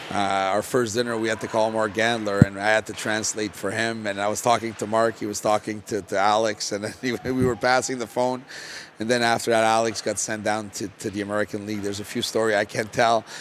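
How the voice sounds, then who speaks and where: Through noticeable background noise, a man with a Quebec accent speaks very fast at a fairly low pitch, his intonation monotone and flat. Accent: French-Canadian accent in English. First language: French. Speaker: junior hockey head coach, former pro player. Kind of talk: podcast interview. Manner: hesitant, many fillers and repetitions.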